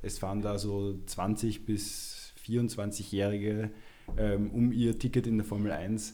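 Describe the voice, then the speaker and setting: A man with a dark, mellow tone speaks very slowly in a flat monotone, with audible echo from the room. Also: fairly low pitch for a man. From Upper Austria. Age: 20s. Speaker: amateur footballer. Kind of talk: casual chat.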